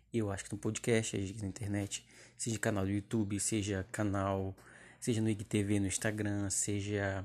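A man speaks at a moderate pace with fairly low pitch. His tone is dark and mellow, his intonation monotone and flat. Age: 20s. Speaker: podcast host. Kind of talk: casual monologue. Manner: halting.

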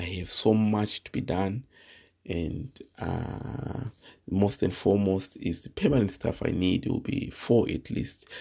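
A man speaks at a fairly slow pace in a fairly low, somewhat breathy voice with a dark, mellow tone. His pitch varies in an ordinary way while his loudness swings widely. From Zimbabwe. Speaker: podcast host. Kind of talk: solo podcast monologue. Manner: halting, many fillers.

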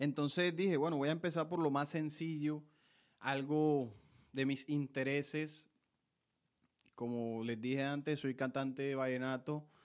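With a Colombian Caribbean accent, a man talks at a fairly slow pace in a fairly high voice, using fairly even intonation and long, frequent pauses, on a very clean recording with a silent background. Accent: Colombian Caribbean (costeño) Spanish. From Colombian Caribbean coast (Montelíbano, Córdoba). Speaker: podcast host, lawyer and aspiring vallenato singer. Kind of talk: casual monologue.

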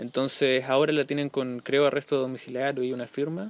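Fairly quick speech from a man, pitched at a medium level. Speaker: podcast host and social activist. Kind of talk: casual chat. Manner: halting.

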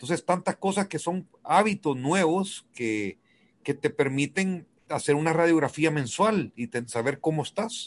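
Fairly slow and fairly high-pitched, a man uses lively intonation in an ordinary speaking voice, with a dry, close sound and no echo. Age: 50s. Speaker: businessman and weekly radio guest. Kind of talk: casual radio chat about personal finance.

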